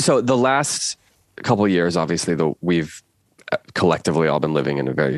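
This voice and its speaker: A man's very deep, low voice with vocal fry and lively intonation, dry and close with no echo. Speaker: podcast host. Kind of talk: casual interview.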